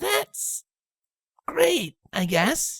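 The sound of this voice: In a put-on character voice with a fairly bright tone, the speaker goes at a very slow pace with very wide pitch swings.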